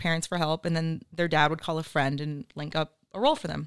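Woman with an American accent at a fairly quick pace, very clean recording with a silent background. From Oxnard, California. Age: 30s. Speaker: entrepreneur and investor. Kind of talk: casual interview chat.

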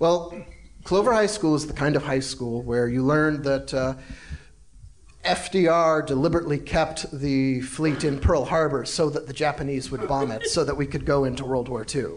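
This man has an unremarkable speaking voice, fairly high in pitch with ordinary variation, delivered at a moderate pace. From South Carolina. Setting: stage with audience.

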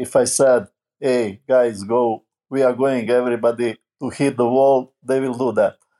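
A man with a Serbian accent speaks in a dark, mellow voice at medium pitch, with monotone, flat intonation. Long pauses come often. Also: moderate pace. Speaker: basketball coach. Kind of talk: interview. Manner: halting.

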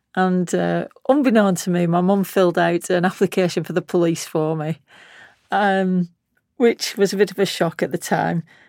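A woman speaks with a Lancashire accent at a moderate pace, using ordinary pitch variation. The recording is very clean, with a silent background. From Lancashire, northern England. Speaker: retired senior police officer. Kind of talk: memoir-style interview.

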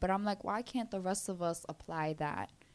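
A woman talks with a Brooklyn accent. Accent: Brooklyn New York. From Brooklyn, New York. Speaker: mental health and wellness speaker. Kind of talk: casual interview chat.

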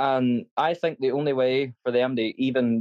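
This man has a Northern Irish accent and a medium pitch. His intonation is fairly even, and the sound is dry and close with no echo. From Northern Ireland. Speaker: football fan caller. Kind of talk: casual chat.

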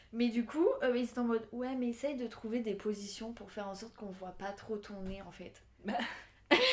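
Over noticeable background noise, a woman with a fairly high pitch speaks at a moderate pace, with big swings in loudness. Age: 20s. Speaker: fashion student. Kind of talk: casual chat.

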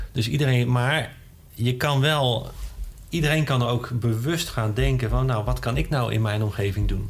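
The voice is somewhat breathy. There is audible echo from the room. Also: man, medium pitch for a man, ordinary pitch variation, moderate pace, very even loudness. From Netherlands. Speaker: scientist. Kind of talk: interview.

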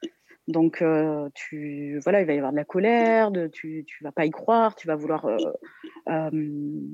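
A woman with a very deep, low voice and a dark, mellow tone talks at a fairly slow pace, leaving long, frequent pauses. Her intonation is lively, and the sound is dry and close with no echo against a quiet background. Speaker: art therapist. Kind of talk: expert commentary. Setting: phone call.

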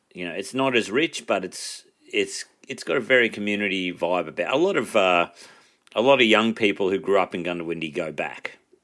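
A man's fairly low voice with an Australian accent, bright and sharp in tone, at a fairly quick pace with lively intonation. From rural New South Wales, Australia. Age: 30s. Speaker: comedian. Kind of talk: casual chat.

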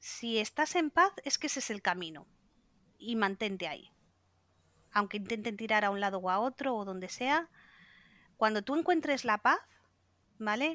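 In a very clean recording with a silent background and a dry, close sound with no echo, a woman with a bright, sharp tone and fairly high pitch speaks at a moderate pace with lively intonation and long, frequent pauses. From Spain, Cantabria (Santander). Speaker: LGBT activist. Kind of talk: panel discussion.

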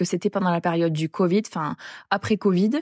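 Fairly even intonation and a moderate pace from a woman with a plain, everyday voice at medium pitch. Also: very clean recording, silent background. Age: 20s. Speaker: traveler sharing experience. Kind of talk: casual chat.

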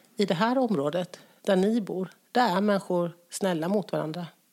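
A woman with a plain, everyday voice speaks at a moderate pace with ordinary pitch variation. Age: 40s. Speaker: guest. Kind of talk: casual chat.

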